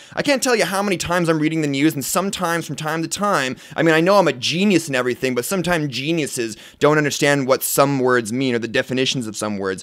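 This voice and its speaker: With lively intonation and a fairly high pitch, a man speaks at a very fast pace. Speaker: tech YouTuber reviewing Android apps. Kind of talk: screen-recorded app review tutorial. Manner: casual, many filler words; stuttering.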